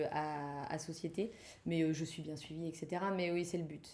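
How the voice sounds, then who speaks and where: A woman's fairly low voice has a dark, mellow tone and fairly even intonation. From Brittany, France. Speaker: community manager. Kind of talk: interview answer.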